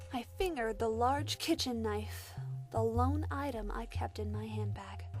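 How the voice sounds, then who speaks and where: With music playing in the background, a woman speaks at a fairly slow pace. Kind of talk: horror story narration. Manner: eerie, spooky.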